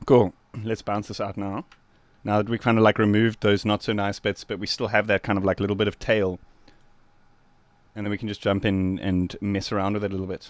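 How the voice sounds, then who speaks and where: A man with a South African accent talks at a fairly quick pace in a fairly low, relaxed voice with flat, monotone intonation. He takes long, frequent pauses, and the sound is dry with no echo. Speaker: music producer streamer. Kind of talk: live stream tutorial. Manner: casual, relaxed. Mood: relaxed, friendly. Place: studio.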